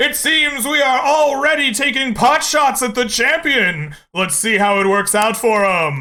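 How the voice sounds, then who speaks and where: Doing a put-on character voice, a man speaks in an extremely high pitch, raised and projected, with lively intonation, a fairly slow pace and very even loudness. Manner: booming.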